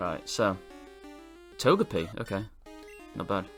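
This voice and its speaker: A man's fairly low-pitched voice with music in the background. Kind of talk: gameplay commentary. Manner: hesitant, filler-heavy.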